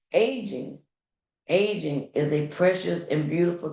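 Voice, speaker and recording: There is audible room echo around a woman whose voice has vocal fry. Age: 60s. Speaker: podcast host. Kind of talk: podcast monologue. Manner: halting.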